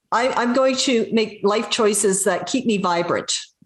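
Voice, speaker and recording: In a plain, everyday voice, a woman speaks at a fairly slow pace and a medium pitch with ordinary pitch variation. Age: 60s. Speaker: adventurer and inspirational speaker. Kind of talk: interview on video call. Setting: video call.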